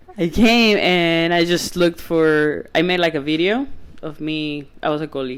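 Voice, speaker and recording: The speaker has a Spanish accent. Noticeable background noise is present. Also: moderate pace. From Venezuela. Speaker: podcast guest, former soccer goalie. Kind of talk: casual chat. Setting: at home.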